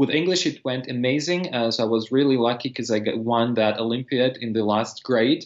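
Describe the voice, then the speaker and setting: Against a quiet background, a man with a Russian accent talks at a fairly quick pace with hardly any pauses, using a medium pitch and ordinary pitch variation. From eastern Ukraine. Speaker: language teacher and polyglot. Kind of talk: casual interview. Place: home room. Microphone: video call.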